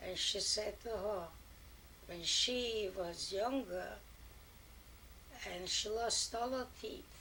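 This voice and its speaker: A woman with a fairly high voice talks at a very slow pace, with long, frequent pauses. Audible room echo surrounds her voice. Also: ordinary pitch variation. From Poland. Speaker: grandmother telling family history. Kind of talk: family oral history interview. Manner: halting.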